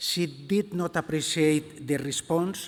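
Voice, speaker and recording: A man's fairly high voice with ordinary pitch variation and a Spanish accent, on a very clean recording with a silent background. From Spain. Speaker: museum director. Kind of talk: conference talk read from a text. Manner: slow.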